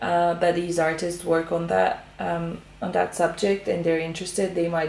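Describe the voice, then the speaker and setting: With audible room echo, a woman talks at a moderate pace in a fairly low pitch. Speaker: artist, art channel host. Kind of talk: tutorial-style art commentary. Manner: hesitant, many fillers and restarts.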